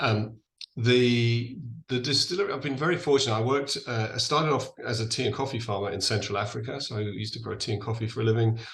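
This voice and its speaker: A man with an English accent, medium in pitch, at a very fast pace, with audible room echo. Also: ordinary pitch variation. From England. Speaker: distillery founder. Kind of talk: podcast interview.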